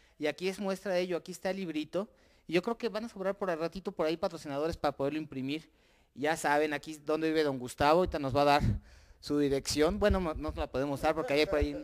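A man races along at a very fast pace over a quiet background. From Mexico. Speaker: local TV interviewer. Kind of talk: casual interview. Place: home room. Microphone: handheld.

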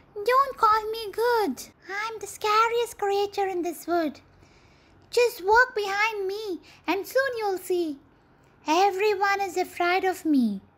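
This squeaky, put-on character voice sits at an extremely high pitch and moves at a fairly slow pace. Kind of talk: storybook character acting. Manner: polite, then boastful and sly.

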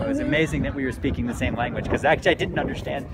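In an American accent, a man talks at a very fast pace, the sound dry with no echo and the background noise loud. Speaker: travel writer and interviewer. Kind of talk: casual street interview. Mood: amused, relaxed. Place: bar. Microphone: phone near.

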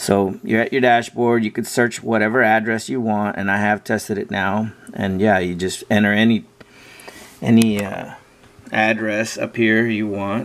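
A man talks in a fairly low voice. His intonation is monotone and flat. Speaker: off-road enthusiast. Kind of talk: casual screen-share tutorial. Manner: slow. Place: home room. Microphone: phone near.

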